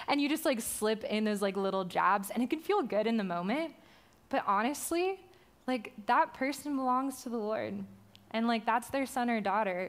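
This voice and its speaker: Her intonation lively and her loudness very even, a woman with a fairly high pitch talks at a moderate pace. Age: 20s. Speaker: young adults pastor. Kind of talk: sermon. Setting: stage with audience. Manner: animated.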